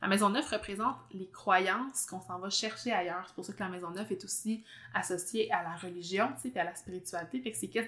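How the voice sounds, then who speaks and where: A woman of medium pitch talks at a fairly quick pace, her pitch varying in an ordinary way while her loudness swings widely. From Quebec, Abitibi. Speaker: podcast host, astrologer. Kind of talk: casual interview chat. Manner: fast.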